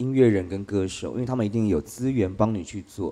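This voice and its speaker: Against a quiet background, a man talks at a fairly quick pace. His voice is medium in pitch with a dark, mellow tone. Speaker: drag queen and singer. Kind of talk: live interview on stage. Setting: live podcast show with audience.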